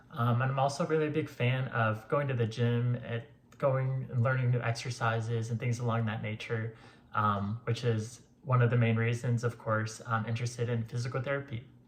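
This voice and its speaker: A man with an American accent speaks at a fairly quick pace in a somewhat breathy voice. His pitch is medium and his intonation monotone and flat. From Florida. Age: 30s. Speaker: physical therapy program applicant. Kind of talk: interview answers to camera.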